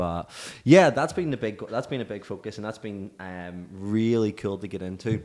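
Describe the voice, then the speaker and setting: On a very clean recording with a silent background, a man with a Northern Irish accent speaks at a moderate pace and a fairly low pitch, showing ordinary pitch variation and big swings in loudness. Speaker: fitness coach. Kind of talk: solo podcast monologue. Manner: casual, filler-heavy.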